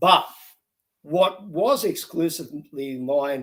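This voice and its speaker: Lively intonation marks this man's speech, delivered with an Australian accent. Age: 60s. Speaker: reality show contestant. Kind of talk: interview. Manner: halting.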